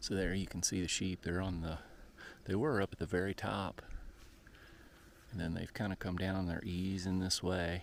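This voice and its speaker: Long, frequent pauses break up quiet speech with fairly even intonation. The recording is very clean, with a silent background. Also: man, very deep, low pitch for a man, moderate pace. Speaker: travel vlogger. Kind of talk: casual vlog narration. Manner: quiet, subdued.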